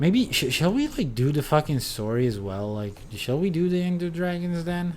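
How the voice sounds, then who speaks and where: A man with a Czech accent, his voice carrying audible room echo. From Czech Republic. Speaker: video game streamer. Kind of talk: casual gaming livestream chat. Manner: halting, many fillers.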